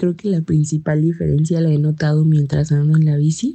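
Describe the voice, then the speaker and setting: A woman's voice sits very deep and low in pitch, somewhat breathy, with fairly even intonation. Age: 20s. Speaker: interviewee, young listener. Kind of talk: casual interview.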